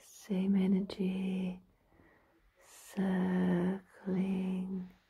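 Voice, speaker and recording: A woman's medium-pitched, somewhat breathy voice, dark, mellow, calm and soothing, flat and monotone at a very slow pace. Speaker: ASMR and reiki practitioner, meditation guide. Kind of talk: guided relaxation meditation. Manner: slow, calm, soothing. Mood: warm, smiling.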